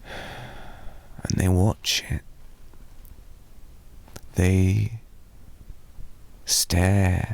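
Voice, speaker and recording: A man speaks with a very deep, low pitch and lively intonation. He leaves long, frequent pauses. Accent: British. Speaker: ASMR roleplay performer. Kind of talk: ASMR boyfriend roleplay sleep aid. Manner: soft-spoken, rambling.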